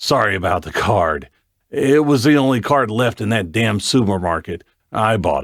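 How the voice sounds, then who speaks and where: Using a put-on character voice, a man speaks at a medium pitch and a moderate pace with lively intonation. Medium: read story.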